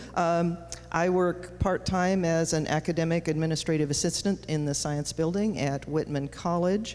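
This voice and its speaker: A woman speaks at a moderate pace in a plain, everyday voice. Her pitch is fairly low, her intonation fairly even and her loudness very even. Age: 60s. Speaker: administrative assistant. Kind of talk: candidate introduction. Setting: school gym with audience.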